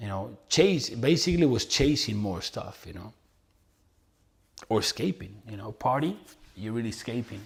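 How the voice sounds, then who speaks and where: In a Spanish accent, a man with a medium pitch talks at a moderate pace with lively intonation, big swings in loudness, and long, frequent pauses. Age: 30s. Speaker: entrepreneur and motivational influencer. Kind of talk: casual vlog monologue. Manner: casual, with fillers and repetitions.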